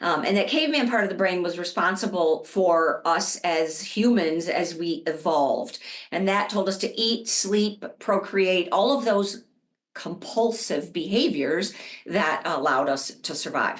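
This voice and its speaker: A woman talks at a fairly slow pace in a medium pitch with lively intonation. Hers is a plain, everyday voice. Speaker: addiction therapist presenter. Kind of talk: webinar presentation. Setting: online webinar.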